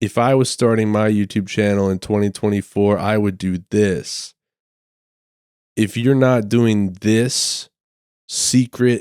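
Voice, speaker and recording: Recorded very cleanly against a silent background, with a dry, close sound and no echo, a man speaks very slowly with long, frequent pauses. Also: fairly low pitch for a man, fairly even intonation. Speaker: comedy podcast host. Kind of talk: casual monologue.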